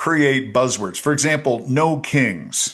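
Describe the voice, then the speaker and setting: Vocal fry at a very slow pace. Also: man. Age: 60s. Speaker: politician. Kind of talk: interview.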